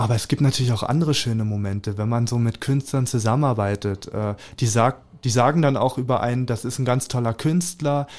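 The background is silent in this very clean recording. A man talks at a medium pitch with ordinary pitch variation. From Germany, Spreewald (Brandenburg). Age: 20s. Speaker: artist. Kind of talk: interview. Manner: halting, many fillers.

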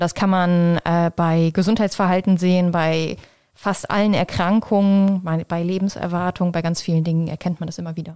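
A woman speaks in a fairly low, dark and mellow voice with flat, monotone intonation at a moderate pace. The recording is very clean with a silent background. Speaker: professor of health services research. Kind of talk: interview. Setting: office at a university.

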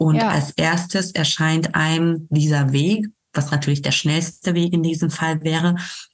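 This woman's voice is somewhat breathy, with a very deep, low pitch and fairly even intonation. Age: 30s. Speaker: bereaved mother, volunteer with a parent support association. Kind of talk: personal testimony in an interview. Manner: many hesitations and fillers.

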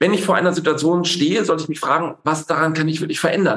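Fairly high in pitch, a man talks at a very fast pace. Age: 40s. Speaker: general practitioner and stress medicine doctor. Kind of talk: interview. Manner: hesitant, many fillers.

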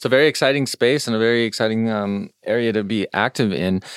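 A man speaks at a medium pitch with ordinary pitch variation and a fairly quick pace. It is an ordinary speaking voice, with a dry, close sound and no echo. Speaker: podcast host. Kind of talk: interview. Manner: casual, many fillers.

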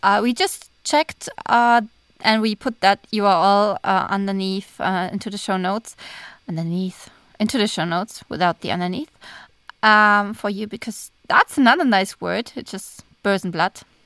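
In a German accent, a woman speaks at a moderate pace and medium pitch, with ordinary pitch variation. The recording is very clean with a silent background, and the sound is dry and close, with no echo. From Germany. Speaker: podcast co-host, author. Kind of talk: casual chat.

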